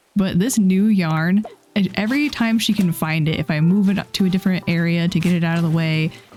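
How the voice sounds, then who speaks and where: A woman speaks over noticeable background noise. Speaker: gaming video creator. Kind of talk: casual chat.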